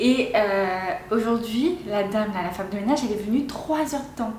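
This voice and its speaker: A woman speaks at a fairly high pitch in an animated tone. Noticeable background noise and audible room echo fill the recording. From Réunion. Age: 20s. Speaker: vlogger. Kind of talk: casual vlog talk.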